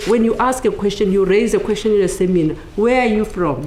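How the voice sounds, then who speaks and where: With a South African accent, the speaker keeps a moderate pace and ordinary pitch variation. Audible room echo and noticeable background noise surround the voice. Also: woman. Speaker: academic. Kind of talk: book launch talk. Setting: panel with audience.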